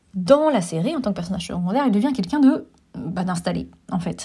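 Her voice sits at a medium pitch with a dark, mellow tone and vocal fry as this woman speaks. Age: 40s. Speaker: film critic and teacher. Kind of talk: solo film review podcast. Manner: hesitant, many filler sounds.

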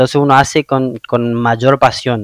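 A man speaks with a northeastern Argentine accent and fairly even intonation. The sound is dry and close, with no echo. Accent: Argentine Spanish (northeastern, voseo). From Argentina, Misiones (Oberá). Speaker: podcast host. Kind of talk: interview.

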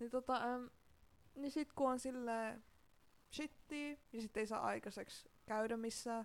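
A woman speaks in a high pitch at a very slow pace. Her intonation stays fairly even. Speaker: podcast co-host. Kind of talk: casual chat.

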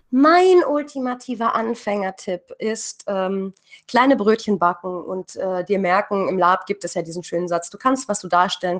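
A woman with an ordinary speaking voice talks at a moderate pace and medium pitch, with ordinary pitch variation and hardly any pauses. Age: 30s. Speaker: writer and hobby role-player. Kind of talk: interview.

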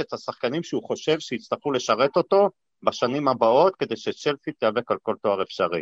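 Over a quiet background, a man with a normal speaking voice talks at a moderate pace and fairly high pitch, with lively intonation and a dry, close sound with no echo. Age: 50s. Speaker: football fan, businessman. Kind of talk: casual chat.

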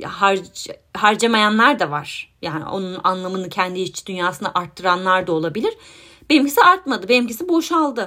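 This woman's bright, sharp voice sits at medium pitch and moves at a moderate pace with lively intonation. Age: 30s. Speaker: podcast host, psychologist. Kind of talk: solo podcast monologue. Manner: hesitant, with filler sounds.

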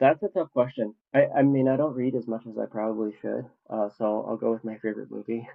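Speaking in an American accent with a plain, everyday voice, this man moves at a fairly quick pace with hardly any pauses and fairly even intonation. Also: medium pitch for a man. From US Midwest (Minnesota). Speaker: leather crafter. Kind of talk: casual chat.

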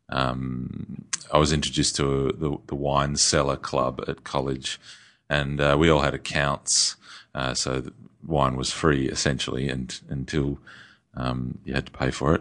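Speaking in an Australian accent, a man with a very deep, low pitch talks at a fairly slow pace in a monotone, flat intonation. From Australia (Perth). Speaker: winemaker. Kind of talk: interview conversation. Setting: studio.

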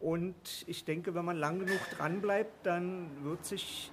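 The speaker is a man. His pitch is high. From Berlin, later long in Swabia. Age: 50s. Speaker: new party member, transport worker. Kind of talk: casual interview.

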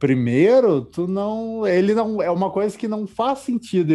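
Lively intonation comes through over music in the background. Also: man. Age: 20s. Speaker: podcast host. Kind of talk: casual chat.

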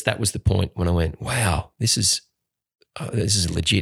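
With an Australian accent, a man speaks fairly quickly in a very deep, low, somewhat breathy voice with ordinary pitch variation. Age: 40s. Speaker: actor and singer. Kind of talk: casual chat.

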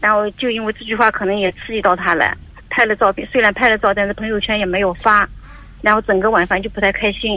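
Speaking very fast, a woman with a fairly high pitch keeps her intonation fairly even. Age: 50s. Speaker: caller, mother-in-law seeking advice. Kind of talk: call-in advice conversation. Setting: phone call. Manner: halting, repetitive.

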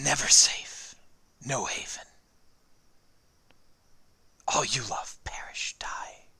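In a put-on character voice, the speaker whispers at a very slow pace with long, frequent pauses. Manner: menacing, hissing.

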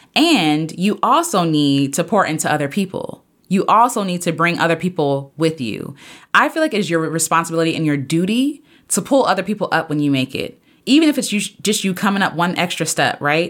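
A woman speaks at a fairly quick clip with a fairly low pitch, lively intonation and an animated tone, on a very clean recording with a silent background. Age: 30s. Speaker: podcast host. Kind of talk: solo podcast monologue.

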